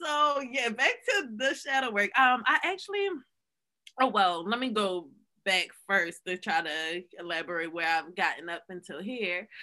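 A woman's bright, sharp voice at a medium pitch, with very wide swings in pitch. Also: fairly slow pace. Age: 20s. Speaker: podcast co-host. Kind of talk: casual chat.

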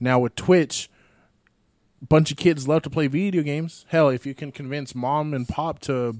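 A man's plain, everyday voice at a moderate pace with fairly even intonation. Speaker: podcast host. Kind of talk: casual banter podcast. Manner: joking, playful.

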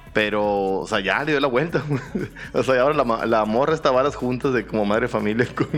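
A man talks at a fairly quick pace, with hardly any pauses. His loudness is very even and his pitch variation ordinary. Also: medium pitch for a man. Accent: Mexican. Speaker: podcast co-host. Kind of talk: casual chat.

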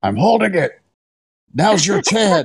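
A raspy put-on character voice at a middle pitch. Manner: grunting, straining.

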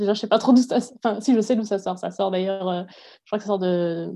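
This voice has a dark, mellow tone. Its intonation is fairly even. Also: woman. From southwest France, Agen. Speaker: PhD student and university lecturer. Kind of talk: interview.

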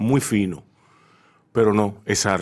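A man talks at a very slow pace with lively intonation. The recording is very clean, with a silent background. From Dominican Republic, Santo Domingo. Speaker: radio host. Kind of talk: radio interview. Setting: radio studio.

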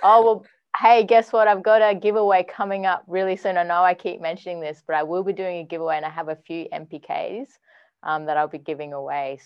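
A woman speaks in an Australian accent with a fairly low pitch. Her loudness swings widely. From Western Australia. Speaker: music producer and artist. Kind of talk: casual interview.

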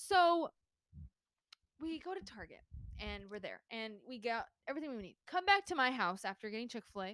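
A woman speaks at a moderate pace in a fairly high voice with an animated tone, very wide pitch swings and big swings in loudness. Her long, frequent pauses sit in a dry, close sound with no echo. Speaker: podcast co-host. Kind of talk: casual chat. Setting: home recording.

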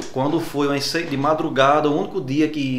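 The speech carries audible room echo and noticeable background noise. Intonation stays fairly even at a moderate pace. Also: man. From Rio Grande do Norte interior (Alto Oeste), Brazil. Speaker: dentist. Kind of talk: casual interview.

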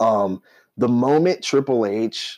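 On a very clean recording with a silent background, a man speaks in an ordinary speaking voice. His pitch sits at a medium level, with ordinary pitch variation. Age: 30s. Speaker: wrestling podcast co-host. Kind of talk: casual chat.

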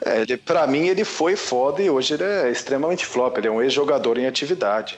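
At a fairly quick pace, a man talks in an unremarkable speaking voice with ordinary pitch variation. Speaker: football podcast panelist. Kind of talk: casual chat. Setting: virtual recording session.

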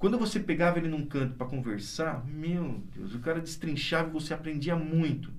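The speech moves at a fairly quick pace with hardly any pauses and ordinary pitch variation, with audible room echo in the recording. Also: man, fairly high pitch for a man. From interior of São Paulo state, Brazil. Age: 50s. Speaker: doctor. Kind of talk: interview conversation.

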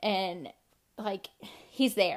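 A woman speaks in a Southern US accent at a fairly slow pace. Her pitch varies in an ordinary way on a very clean recording with a silent background. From US South, North Carolina. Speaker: podcast host. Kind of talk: personal testimony.

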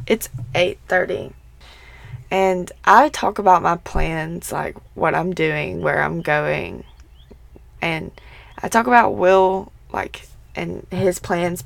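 A woman puts on a raspy character voice, fairly low in pitch, speaking at a very slow pace with long, frequent pauses. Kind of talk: casual vlog-style.

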